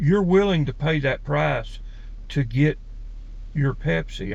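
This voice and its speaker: A man with an Alabama accent. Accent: Southern US (Alabama). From US South, Alabama. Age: 50s. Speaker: personality-type video creator. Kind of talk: casual monologue.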